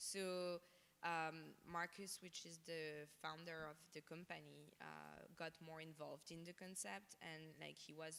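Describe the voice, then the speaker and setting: Speaking at a fairly slow pace, a woman with a French accent uses a very deep, low pitch and a monotone, flat intonation. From France. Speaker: fashion designer. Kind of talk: interview on stage. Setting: stage with audience. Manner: halting, many fillers.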